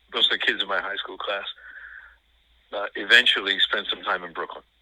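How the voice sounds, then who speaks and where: A man talks at a fairly quick pace with a New York accent. His loudness swings widely. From New York City. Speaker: film discussion guest, former teacher. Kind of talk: casual chat. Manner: halting, many fillers.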